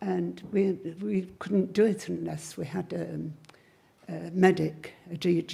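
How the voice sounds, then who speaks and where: The voice has a dark, mellow tone with vocal fry. It carries an English accent and ordinary pitch variation. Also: woman. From Cheshire, England. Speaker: witchcraft priestess and teacher. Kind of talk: live Q&A answers to an audience. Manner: casual, wry.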